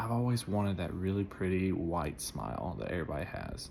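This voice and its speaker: A man talks at a moderate pace amid audible room echo. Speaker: customer testimonial. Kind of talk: testimony.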